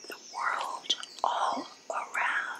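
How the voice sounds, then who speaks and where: Noticeable noise runs in the background. Over it, a woman speaks in a whisper. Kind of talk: ASMR book reading. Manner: whispered.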